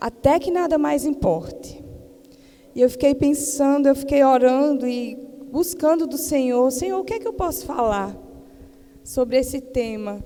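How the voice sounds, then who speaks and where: Speaking with a Paraíba accent, a woman with a high-pitched voice talks at a fairly slow pace with ordinary pitch variation and long, frequent pauses. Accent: Northeastern Brazilian (Paraíba). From Paraíba, Brazilian Northeast (Campina Grande). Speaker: missionary preacher, pastor's wife. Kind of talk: sermon. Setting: church missionary event with audience.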